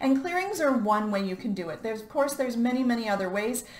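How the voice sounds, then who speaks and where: Audible room echo and noticeable background noise surround a woman's voice. She speaks at a fairly high pitch. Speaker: life coach. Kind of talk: motivational talk.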